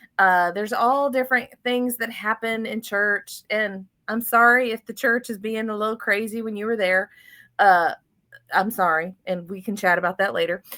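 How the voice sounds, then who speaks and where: A woman with a Southern US accent has a fairly high voice and a bright, sharp tone on a very clean recording with a silent background. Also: ordinary pitch variation, moderate pace. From US South, Florida. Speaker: financial podcast host. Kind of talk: casual interview chat. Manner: animated.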